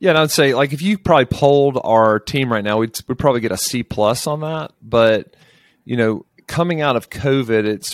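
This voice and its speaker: In a very clean recording with a silent background and dry, close sound with no echo, a man speaks at a fairly quick pace with medium pitch and ordinary pitch variation. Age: 40s. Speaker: property management CEO. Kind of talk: interview.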